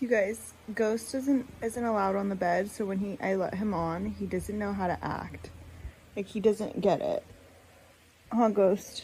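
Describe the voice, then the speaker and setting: Somewhat breathy and dark, mellow in tone, this woman's voice sits at medium pitch. Her intonation stays fairly even. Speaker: vlogger. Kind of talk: casual vlog monologue. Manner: frequent filler um.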